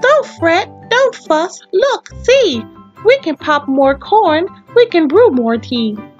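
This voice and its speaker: A put-on character voice moves at a very slow pace over faint music in the background. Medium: read story.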